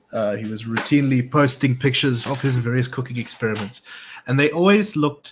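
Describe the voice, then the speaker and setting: Somewhat breathy male speech, fairly quick, with ordinary pitch variation. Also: medium pitch for a man. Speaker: podcast co-host. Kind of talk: casual political discussion. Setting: home, lights off. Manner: low energy.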